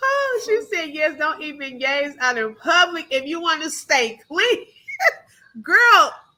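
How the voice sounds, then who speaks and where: In a Texas accent, a woman speaks in a raised, projected voice with an animated tone, extremely high pitch and very wide pitch swings. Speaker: livestream commentary host. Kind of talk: casual live chat. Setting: live stream.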